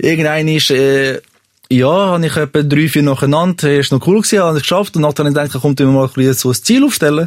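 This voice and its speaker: A man's fairly high voice at a very fast pace, with very even loudness and ordinary pitch variation. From Switzerland, Serbian family. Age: 30s. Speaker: podcast guest telling a confession. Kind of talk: personal confession story.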